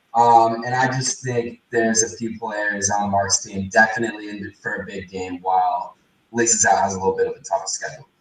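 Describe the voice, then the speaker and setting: Here is an unremarkable speaking voice from a man at a medium pitch. He talks at a fairly quick pace with fairly even intonation. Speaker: fantasy football podcast co-host. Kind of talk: casual chat.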